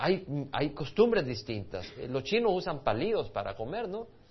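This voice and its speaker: A man speaks with vocal fry and very wide swings in pitch. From El Salvador. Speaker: pastor. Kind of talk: sermon.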